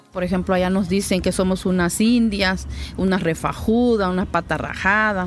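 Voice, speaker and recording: Keeping very even loudness, a woman speaks at medium pitch in a flat monotone. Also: moderate pace. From Mexico, Guerrero, Xochistlahuaca (Amuzgo community). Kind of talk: interview testimony. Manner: hesitant, with fillers.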